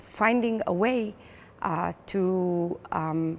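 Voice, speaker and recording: Ordinary pitch variation marks this very slow delivery. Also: woman. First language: Hebrew. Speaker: playwright and theater director. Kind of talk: interview. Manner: hesitant, many fillers.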